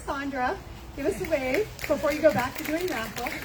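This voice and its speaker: A woman speaks loudly in a high voice. Crowd noise and clear room echo fill the background. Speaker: charity director presenting at event. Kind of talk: event speech to audience. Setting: in-person event with audience.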